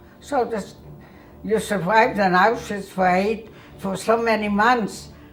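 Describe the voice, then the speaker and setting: Music plays in the background as a woman talks at medium pitch with ordinary pitch variation. Her pauses are long and frequent. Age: 80s+. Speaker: Holocaust survivor. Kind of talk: interview answer.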